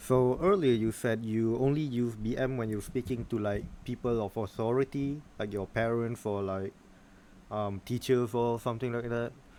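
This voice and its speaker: Speaking at a moderate pace, a man has a dark, mellow tone and fairly even intonation. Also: medium pitch for a man. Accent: Malaysian. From Malaysia. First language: Malay. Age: 20s. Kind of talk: casual conversation.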